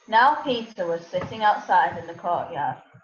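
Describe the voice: In a room with audible echo, a woman with a fairly low pitch speaks at a moderate pace and with lively intonation.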